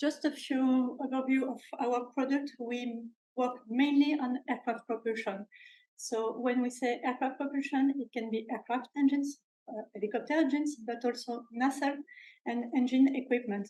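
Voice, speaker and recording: A woman with a French accent speaks at a moderate pace in a high pitch, her tone dark and mellow and her intonation flat and monotone. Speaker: industrial research scientist. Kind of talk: seminar talk. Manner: halting, many filler sounds.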